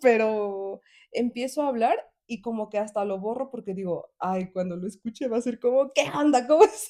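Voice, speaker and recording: Dark, mellow, high-pitched voice of a woman, fairly slow, with ordinary pitch variation. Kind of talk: casual chat. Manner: loud, sounds like shouting.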